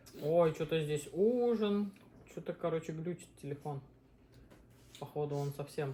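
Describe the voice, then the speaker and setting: A woman with a very deep, low pitch and a dark, mellow tone speaks somewhat breathily at a fairly slow pace, with ordinary pitch variation and long, frequent pauses. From Uzbekistan. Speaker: mukbang host, mother. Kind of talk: casual chat while eating on a live stream.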